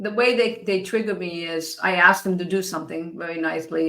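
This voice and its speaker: Here a woman uses an ordinary speaking voice at a moderate pace and medium pitch. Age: 60s. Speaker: podcast host and life coach. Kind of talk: interview conversation.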